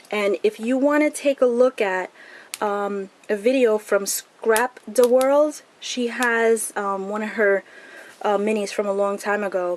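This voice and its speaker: A woman talks at a fairly slow pace with fairly high pitch and ordinary pitch variation. It is a plain, everyday voice. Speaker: crafting video creator. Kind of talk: tutorial.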